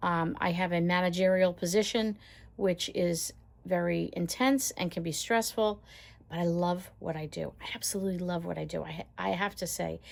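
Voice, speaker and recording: Recorded very cleanly with a silent background, a woman has a normal speaking voice. Her pitch is fairly low, her intonation fairly even and her pace moderate. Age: 60s. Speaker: lifestyle vlogger and caregiver. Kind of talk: casual chat. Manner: conversational, with filler words.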